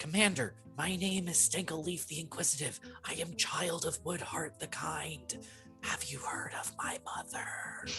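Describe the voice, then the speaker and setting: Over clear background music, a female-sounding voice whispers in a put-on character voice at a moderate pace. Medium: actual play. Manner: earnest, formal.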